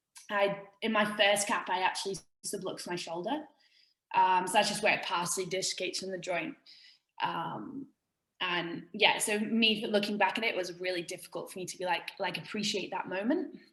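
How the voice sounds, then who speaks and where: A woman's voice sits at a medium pitch. It sounds bright and sharp. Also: ordinary pitch variation, moderate pace. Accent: English. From England, small country town. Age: 20s. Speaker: fitness coach and former rugby player. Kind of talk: casual interview chat. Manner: informal, many fillers (um, like).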